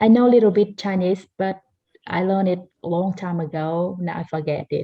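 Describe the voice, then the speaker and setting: Somewhat breathy and fairly low in pitch, a woman speaks at a moderate pace with a Laotian accent. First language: Taoi. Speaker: language learner. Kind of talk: group conversation class.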